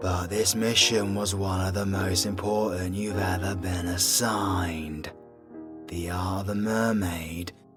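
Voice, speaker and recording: Over faint background music, a man puts on a character voice, talking at a fairly slow pace with a fairly low pitch. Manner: commanding, stern.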